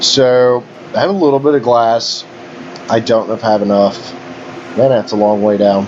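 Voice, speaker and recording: A man's medium-pitched voice in a West Virginia accent, with very even loudness, long and frequent pauses, and noticeable background noise. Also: ordinary pitch variation, moderate pace. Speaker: gaming YouTuber. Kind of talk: gameplay commentary. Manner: casual, conversational.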